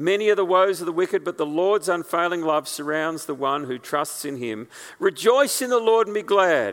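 Lively intonation at a moderate pace. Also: man. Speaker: preacher. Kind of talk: sermon. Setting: church.

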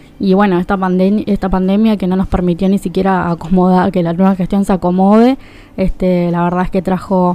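A woman with a medium pitch talks at a fairly quick pace with fairly even intonation. Noticeable background noise is present. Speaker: political activist. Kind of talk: radio interview.

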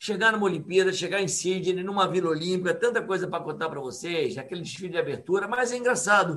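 A man speaks at a very fast pace in a high pitch, with hardly any pauses. His tone is animated, and his pitch varies in an ordinary way. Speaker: triathlon coach. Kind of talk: casual chat.

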